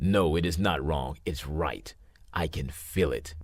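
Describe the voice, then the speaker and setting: Someone puts on a growling character voice, delivered at a fairly slow pace. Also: man, very deep, low pitch for a man. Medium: read story. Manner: proud, snarling.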